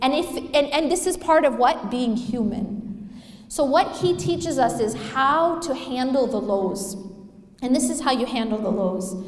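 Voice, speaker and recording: Over noticeable background noise, the voice moves at a fairly slow pace with lively intonation. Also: woman, high pitch for a woman. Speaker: Islamic lecturer. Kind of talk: Islamic lecture / reminder. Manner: conversational, rhetorical questions to audience.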